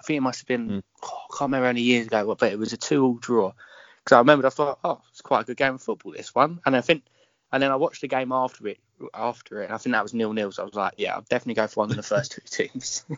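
A man talks at a very fast pace in a medium-pitched voice. His intonation is fairly even, while his loudness swings widely. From London. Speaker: fan page admin. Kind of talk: interview.

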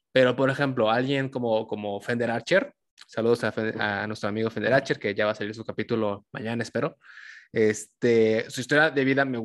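Against a quiet background, an unremarkable speaking voice moves at a fairly quick pace with ordinary pitch variation. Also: man. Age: 20s. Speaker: podcast host. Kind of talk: casual interview chat.

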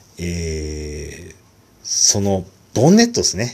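The man's somewhat breathy voice moves through very wide pitch swings. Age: 40s. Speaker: solo podcaster. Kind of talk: casual monologue. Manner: hesitant, many fillers.

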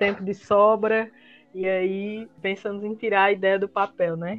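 The woman's medium-pitched voice comes at a fairly slow pace in a monotone, flat intonation. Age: 20s. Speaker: podcast co-host, design student. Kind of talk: casual chat.

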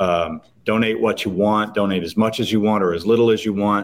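A plain, everyday voice, fairly even in intonation and moderate in pace. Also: man. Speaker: NIL collective founder. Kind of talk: interview, conversational.

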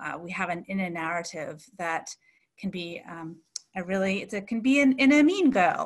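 With a Canadian accent and a plain, everyday voice, the speaker moves at a moderate pace with lively intonation and big swings in loudness. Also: woman, medium pitch for a woman. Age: 40s. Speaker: coach and business owner. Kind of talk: interview.

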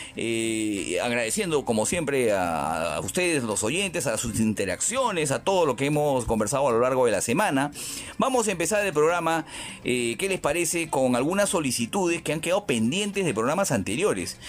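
A man with a fairly high pitch swings very widely in pitch while his loudness stays very even. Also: moderate pace. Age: 50s. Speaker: radio host. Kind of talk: radio music show presenting. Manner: halting with fillers.

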